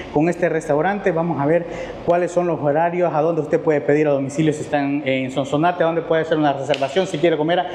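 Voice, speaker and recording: A man speaks very fast in a monotone, flat intonation. Light background noise and audible room echo surround him. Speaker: food vlogger host. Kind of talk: casual vlog chat. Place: cafe. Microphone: lapel.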